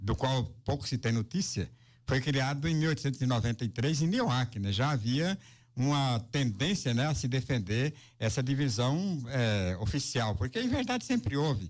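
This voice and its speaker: Against a silent background in a very clean recording, a man speaks at a moderate pace and medium pitch, his somewhat breathy voice lively in intonation and very even in loudness. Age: 70s. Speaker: journalist and radio broadcaster. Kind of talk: interview.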